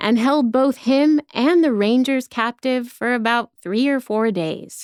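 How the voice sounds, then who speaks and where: A woman with an American accent talks in an ordinary speaking voice at a fairly high pitch and fairly slow pace, on a very clean recording with a silent background and a dry, close sound with no echo. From Texas. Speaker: actor, writer, voice actor. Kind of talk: history narration. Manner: casual, wry.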